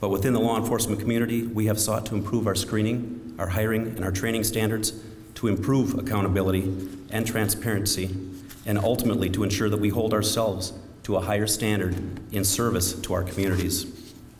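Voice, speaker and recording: Over noticeable background noise, a man with fairly low pitch speaks at a fairly quick pace in a flat monotone, his loudness very even. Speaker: county sheriff. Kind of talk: memorial service keynote speech.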